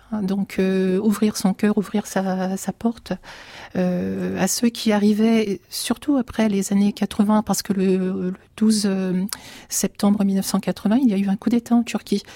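A woman of medium pitch speaks at a very slow pace with a dark, mellow tone, flat monotone intonation and a somewhat breathy quality. The sound is dry and close with no echo, in a very clean recording with a silent background. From France, Turkish family. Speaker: writer. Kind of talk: radio interview.

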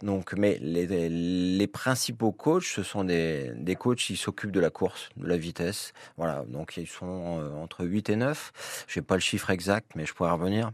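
Lively in intonation, a man speaks at a fairly slow pace in a very deep, low voice. The background is quiet. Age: 50s. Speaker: swimming club president. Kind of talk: radio interview. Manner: halting, many fillers.

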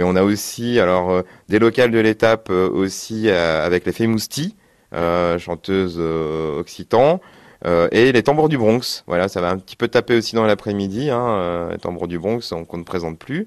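Against a quiet background with a dry, close sound and no echo, a man talks at a fairly slow pace in a very deep, low pitch with ordinary pitch variation. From France, Limoges. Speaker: festival coordinator. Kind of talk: radio interview. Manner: halting, many repetitions and fillers.

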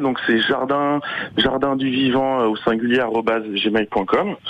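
Amid noticeable background noise, a man with medium pitch speaks at a very slow pace. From Sarthe, France. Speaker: environmental educator and association founder. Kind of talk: radio interview. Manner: hesitant, many fillers and repetitions.

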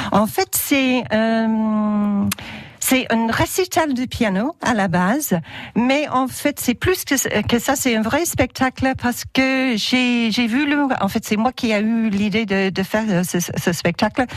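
Speaking at a very slow pace, a woman with a fairly high pitch keeps her loudness very even while her intonation stays lively. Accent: English. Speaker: theatre director. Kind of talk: radio interview. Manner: halting, many repetitions.

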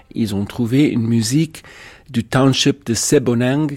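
A man's voice, dark and mellow in tone, moves at a very slow pace. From South Africa. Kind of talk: interview.

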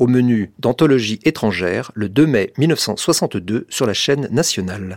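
The sound is dry and close with no echo as a man of medium pitch talks in an unremarkable speaking voice with lively intonation. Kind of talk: radio continuity announcement, a scripted introduction to the broadcast.

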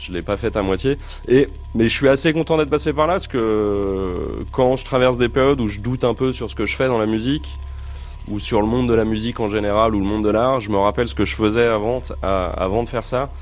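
With music in the background, a man of medium pitch talks at a fairly quick pace using lively intonation. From Essonne, southern suburbs of Paris. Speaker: guitarist and composer. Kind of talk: interview. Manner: halting.

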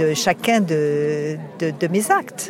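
Noticeable background noise fills the clip. A woman is the one talking. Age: 70s. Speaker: environmental activist. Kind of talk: testimony. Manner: halting.

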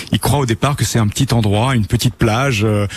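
The voice is somewhat breathy. The words come at a very fast pace. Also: man. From Normandy, France (Bayeux). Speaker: tour guide. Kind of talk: radio interview. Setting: live outside broadcast.

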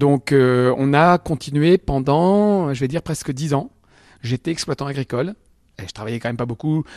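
In an ordinary speaking voice, a man talks at a moderate pace with a fairly high pitch and ordinary pitch variation, the sound dry and close with no echo. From Picardy, France (Albert, Somme). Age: 50s. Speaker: comedian. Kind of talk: radio interview. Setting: comedy club venue.

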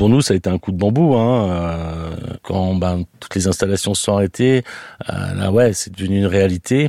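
Very deep and low, a man's voice has a dark, mellow tone and a moderate pace, in a dry, close sound with no echo. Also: ordinary pitch variation. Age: 40s. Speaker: restaurant owner. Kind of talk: interview testimony. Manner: hesitant, many fillers.

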